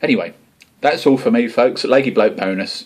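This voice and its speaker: A man with an Essex accent at a moderate pace. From England, Essex. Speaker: homebrewing video blogger. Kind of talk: casual vlog talk to camera. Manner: informal, chatty.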